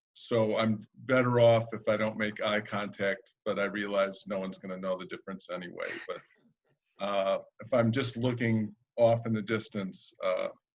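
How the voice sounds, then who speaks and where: With a Midwestern accent, a man speaks at a medium pitch with fairly even intonation. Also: moderate pace. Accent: Midwestern twang. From US Midwest, Chicago area. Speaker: arborist. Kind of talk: webinar talk. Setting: video call.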